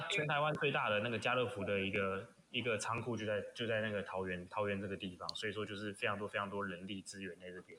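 A very fast-talking man with a fairly low-pitched voice. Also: ordinary pitch variation. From Taiwan, Pingzhen in Taoyuan. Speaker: guest. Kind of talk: casual chat.

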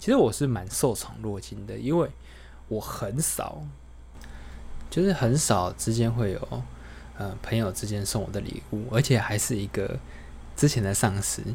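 A man at a fairly slow pace, long, frequent pauses, audible room echo. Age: 30s. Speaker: podcaster. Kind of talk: casual monologue. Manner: unscripted, rambling with fillers.

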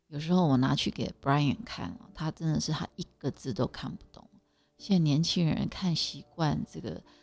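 Music runs in the background while a woman speaks at a very deep, low pitch. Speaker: podcast host. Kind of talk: casual monologue. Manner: halting, many fillers.

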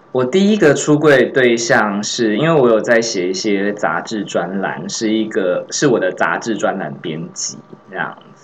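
Noticeable background noise sits behind a man with a medium-pitched voice. He talks at a fairly slow pace with hardly any pauses. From Taiwan, Tainan. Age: 30s. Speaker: podcast co-host. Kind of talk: casual chat.

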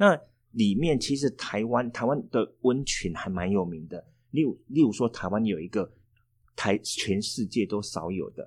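With a Taiwanese accent, a man speaks at a fairly slow pace and medium pitch with lively intonation, on a very clean recording with a silent background. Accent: Taiwanese Mandarin. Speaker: tour planning teacher, former tour guide. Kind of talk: casual interview chat.

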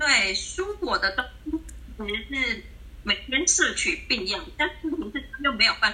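Noticeable background noise sits under the recording. The speech is very slow. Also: woman. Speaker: counseling psychologist. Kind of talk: casual livestream chat. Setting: video call.

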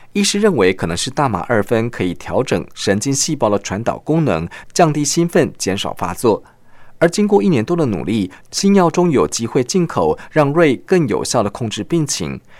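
The recording is very clean, with a silent background. A man at medium pitch speaks at a moderate pace, his pitch swinging very widely. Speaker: radio news feature reporter. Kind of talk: scripted narration. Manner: formal.

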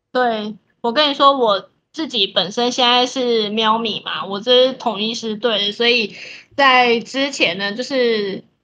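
A woman's fairly high, bright, sharp voice at a very slow pace, with fairly even intonation. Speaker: podcast co-host. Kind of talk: casual chat.

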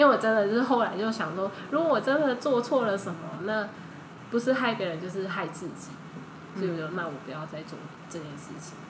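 A woman talks at a fairly quick pace with long, frequent pauses, big swings in loudness and very wide pitch swings. Noticeable background noise and audible room echo fill the recording. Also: medium pitch for a woman. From Thailand. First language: Thai (speaking Chinese). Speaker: Thai-Chinese interpreter. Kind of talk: casual interview chat.

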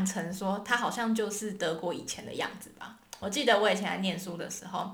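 Noticeable background noise and audible room echo around a woman speaking. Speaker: podcast co-host. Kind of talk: casual educational chat.

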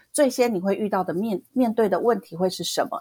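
A woman at a fairly quick pace, dry and close with no echo. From southern Taiwan. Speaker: podcast co-host. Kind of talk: interview. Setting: online remote recording.

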